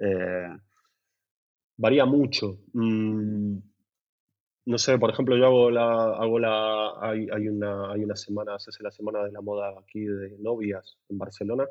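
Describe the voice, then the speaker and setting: At a fairly slow pace, a man with a fairly low voice speaks in a flat monotone, his loudness swinging widely. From Buenos Aires, Argentina. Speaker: lighting designer. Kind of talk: casual interview. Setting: at home. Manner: halting, many repetitions and fillers.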